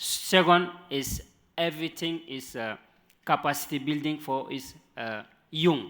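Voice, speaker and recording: A man with a non-native accent has a bright, sharp tone and ordinary pitch variation. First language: not English. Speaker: panelist. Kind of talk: panel discussion. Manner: halting.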